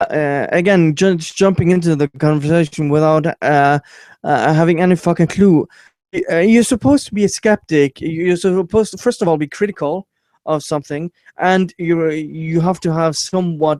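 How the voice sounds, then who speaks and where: Someone with a non-native accent talks at a moderate pace with ordinary pitch variation, captured dry and close with no echo on a very clean recording with a silent background. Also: man. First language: not English. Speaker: YouTube commentator. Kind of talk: casual chat. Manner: halting, many stammers and fillers.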